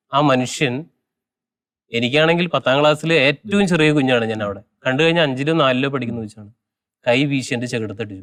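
Here a man speaks at a medium pitch with ordinary pitch variation. He has a plain, everyday voice. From Kerala, Palakkad district, raised near Chalakudy. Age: 30s. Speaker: lay preacher. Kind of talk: testimony interview.

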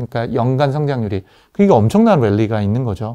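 A man's dark, mellow tone over a quiet background. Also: dry, close sound with no echo. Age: 50s. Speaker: AI company CEO. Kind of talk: interview.

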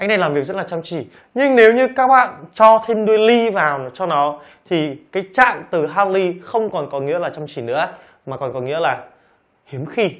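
Against a quiet background, a man with a high voice talks at a moderate pace, his pitch swinging very widely. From Vietnam. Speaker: English teacher. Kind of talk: lecture. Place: studio.

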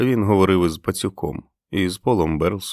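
It is a natural reading voice with ordinary pitch variation against a quiet background.

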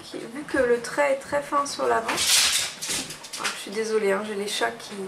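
A woman's fairly high voice with vocal fry, ordinary pitch variation, a fairly slow pace and clear background noise

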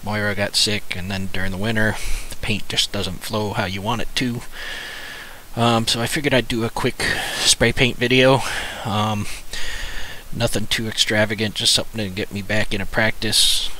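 A man with a fairly low pitch speaks at a moderate pace with long, frequent pauses and fairly even intonation, the sound dry with no echo and light background noise. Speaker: hobby artist vlogger. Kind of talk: casual vlog chat. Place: home room. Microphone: headset.

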